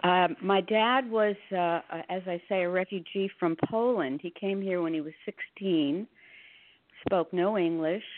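The pace is very slow. An American accent can be heard. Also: woman. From northern New Jersey. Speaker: religious book reader. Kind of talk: interview.

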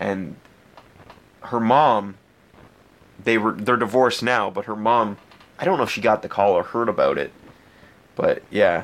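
Speaking at a moderate pace with long, frequent pauses, a man with an Ontario accent uses a medium pitch and ordinary pitch variation. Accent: Canadian (Ontario). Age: 20s. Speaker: podcast host and pro wrestler. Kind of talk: casual solo chat.

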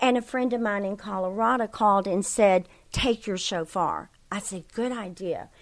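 Heard in a very clean recording with a silent background, a woman speaks with an American accent at medium pitch. She has a normal speaking voice with fairly even intonation. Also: moderate pace. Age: 60s. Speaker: ministry leader. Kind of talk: interview.

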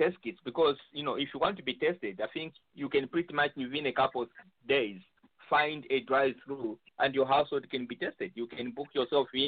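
An unremarkable speaking voice belongs to a man who talks at a fairly quick pace with lively intonation. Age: 50s. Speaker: panelist. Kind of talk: casual chat.

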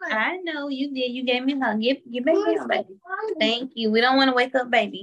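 Speaking in a Southern US accent, the voice moves at a fairly quick pace with ordinary pitch variation. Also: woman, high pitch for a woman. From Memphis, Tennessee. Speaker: stay-at-home mother and family caregiver. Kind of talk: interview. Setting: at home with her mother-in-law.

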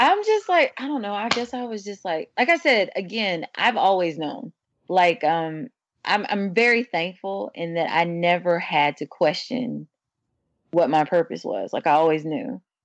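A woman's normal speaking voice in an American accent, medium in pitch, with lively intonation at a moderate pace. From St. Louis, Missouri. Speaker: singer-songwriter. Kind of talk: interview.

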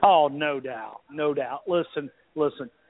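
In an Alabama accent, a man speaks at a fairly slow pace and a fairly high pitch with ordinary pitch variation. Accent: Alabama Southern US. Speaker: sports radio contributor. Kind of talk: casual chat.

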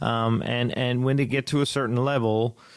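Here a man talks at a medium pitch and a fairly slow pace. His intonation is monotone and flat. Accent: Newfoundland. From Newfoundland, Canada. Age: 30s. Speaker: country singer-songwriter. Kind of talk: casual interview.

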